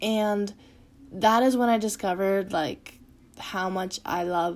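A woman speaks in an ordinary speaking voice at a medium pitch, with fairly even intonation and a fairly slow pace. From rural Manitoba, Canada. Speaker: podcast host and music photographer. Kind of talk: personal monologue. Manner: casual, many fillers.

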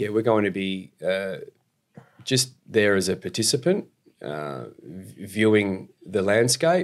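Recorded very cleanly against a silent background, a man with an Australian accent talks with ordinary pitch variation. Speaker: esports company executive and investor. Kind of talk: casual interview.

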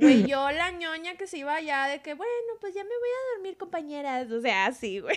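A woman with an extremely high pitch speaks at a moderate pace, her voice swinging very widely in pitch with hardly any pauses. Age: 30s. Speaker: podcast co-host. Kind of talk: casual chat.

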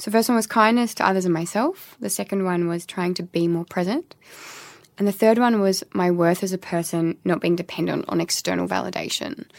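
In an Australian accent, a woman talks at a fairly quick pace with ordinary pitch variation on a very clean recording with a silent background. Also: medium pitch for a woman. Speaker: doctor and podcast co-host. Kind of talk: casual chat.

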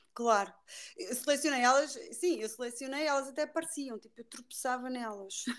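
Her pitch is high for a woman, with ordinary pitch variation. Her loudness swings a lot as she speaks at a moderate pace. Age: 40s. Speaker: podcast guest sharing personal story. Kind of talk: interview.

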